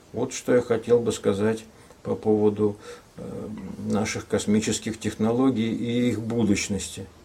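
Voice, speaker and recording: Speaking fairly slowly in a flat monotone, a man with a fairly low pitch leaves long, frequent pauses. Noticeable noise sits in the background. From Arkhangelsk region, northern Russia. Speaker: artist and scientist. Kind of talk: radio talk show. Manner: hesitant, many fillers.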